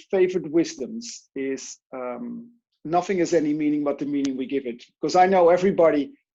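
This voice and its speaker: Speaking with a Dutch accent, a man has a fairly high pitch, ordinary pitch variation and a dark, mellow tone. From Netherlands. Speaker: life coach and speaker. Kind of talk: interview.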